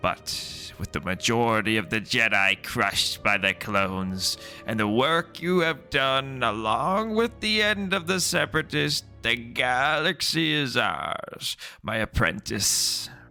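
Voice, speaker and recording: With clear music in the background, the speaker uses a put-on character voice with very wide pitch swings at a fairly slow pace. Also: man, medium pitch for a man. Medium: read story. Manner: cold, commanding.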